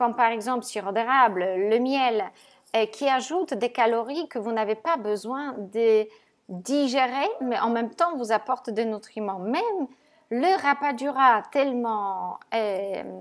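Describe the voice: A woman speaks at a fairly slow pace. Her pitch is fairly high, with ordinary variation.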